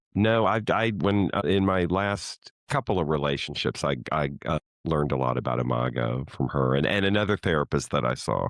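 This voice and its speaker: Very deep and low in pitch, a man's voice shows vocal fry, lively intonation, and very even loudness. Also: moderate pace, hardly any pauses. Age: 60s. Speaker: podcast guest sharing personal therapy journey. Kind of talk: casual interview conversation. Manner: hesitant, with repeated words and fillers.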